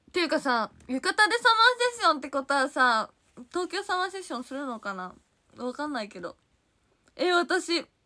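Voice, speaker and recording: Against a quiet background, a woman with a Kansai accent speaks in a raised, projected voice at a moderate pace, her high pitch taking very wide swings, her tone bright, sharp and animated, her loudness swinging widely. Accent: Kansai (Osaka) dialect. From Osaka, Japan. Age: 20s. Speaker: idol livestreamer. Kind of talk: casual livestream chat reading viewer comments. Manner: animated, frequent laughter. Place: home room. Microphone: phone near.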